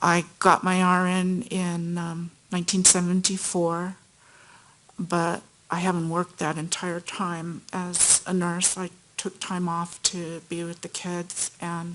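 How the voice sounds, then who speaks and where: A woman's fairly low voice in a flat monotone, at a very slow pace, with an American accent. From US West Coast, Los Angeles. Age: 60s. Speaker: witness, nurse. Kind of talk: court testimony. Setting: courtroom.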